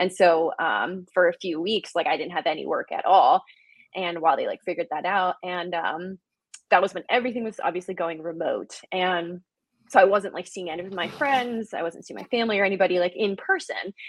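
A woman speaks at a medium pitch with ordinary pitch variation. Her pace is fairly quick. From South Jersey, US. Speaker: family communication coach. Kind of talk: interview on a live stream.

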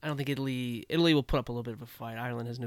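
A man with an American accent talks in a normal speaking voice, at medium pitch with fairly even intonation. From Washington DC area. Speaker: rugby podcast co-host. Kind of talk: casual chat.

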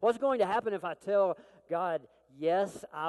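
A man speaks with an Arkansas accent. His pace is moderate. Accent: Southern US (Arkansas). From Arkansas, US South. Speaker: military chaplain, preacher. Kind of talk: sermon. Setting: church.

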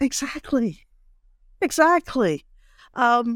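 A woman speaks in a high pitch with ordinary pitch variation. The recording is very clean and dry, close, with no echo and a silent background. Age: 60s. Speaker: actress and playwright. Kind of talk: casual interview.

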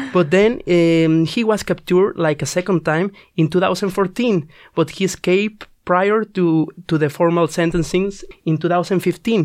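The speaker has a Spanish accent and a fairly slow pace. Loudness stays very even, and intonation is fairly even. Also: man, high pitch for a man. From Mexico. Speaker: student radio presenter. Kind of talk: casual chat. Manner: halting, many fillers.

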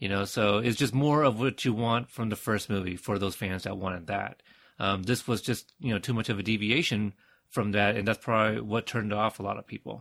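Over a silent background in a very clean recording, a man with an American accent speaks at a fairly quick pace. His voice is fairly low and his intonation fairly even. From United States. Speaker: podcaster. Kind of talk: casual chat. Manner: halting, repeats words.

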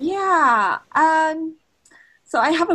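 Her tone bright and sharp, a woman speaks with a Japanese accent. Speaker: history professor and author. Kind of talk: academic interview conversation. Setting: remote call from office.

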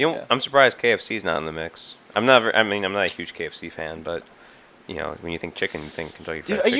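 A man with an American accent speaks at a fairly quick pace in a very deep, low pitch. His intonation is lively, and his loudness swings widely. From Wisconsin. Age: young. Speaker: podcast co-host.

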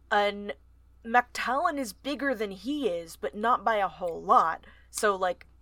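The intonation here is lively. This is reading aloud in a natural voice.

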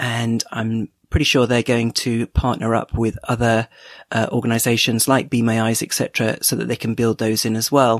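Recorded very cleanly against a silent background with a dry, close sound and no echo, a man with a British accent speaks at a moderate pace in a medium pitch and a monotone, flat intonation. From UK. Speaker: tech podcast host, listener contributor. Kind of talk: recorded voice message.

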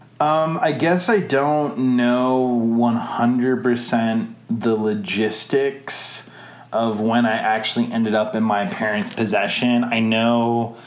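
Over noticeable background noise, a man speaks at a very slow pace and medium pitch, with hardly any pauses, very even loudness and ordinary pitch variation. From Wisconsin, US Midwest. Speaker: adoptee interviewee. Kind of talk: interview. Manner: halting, many fillers.

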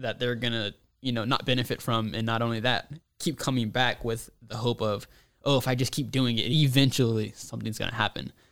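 In a normal speaking voice, the speech runs at a fairly quick pace with fairly even intonation on a very clean recording with a silent background. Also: man. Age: 20s. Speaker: content marketer at a food company. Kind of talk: casual chat.

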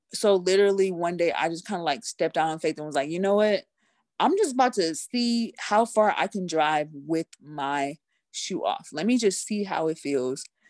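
Against a quiet background, a woman at a fairly low pitch speaks at a moderate pace with lively intonation, the sound dry and close with no echo. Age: 30s. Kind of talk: interview, personal story. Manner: upbeat, cheerful.

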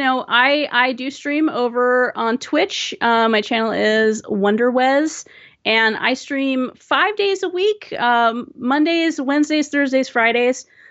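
A woman with a West Coast American accent speaks in a high voice at a very slow pace with hardly any pauses. Her intonation is lively. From Southern California. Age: 40s. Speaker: Twitch streamer. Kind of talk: casual interview chat. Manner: hesitant, many ums.

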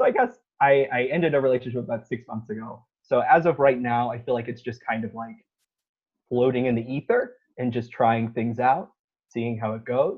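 Moderate pace and fairly even intonation from a man at a medium pitch. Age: 20s. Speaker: dating app match, university program manager. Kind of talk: casual chat. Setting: video call. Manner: halting.

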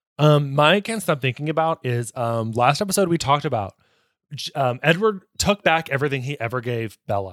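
A man with a normal speaking voice and fairly high pitch talks at a fairly quick pace with lively intonation. The recording is very clean and dry, close with no echo and a silent background. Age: 20s. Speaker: podcast co-host. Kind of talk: casual chat.

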